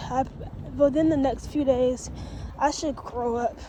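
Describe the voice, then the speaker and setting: Spoken at a very slow pace in a monotone, flat delivery, with noticeable background noise behind it. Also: woman. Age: 20s. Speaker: vlogger giving relationship advice. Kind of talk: casual story time vlog.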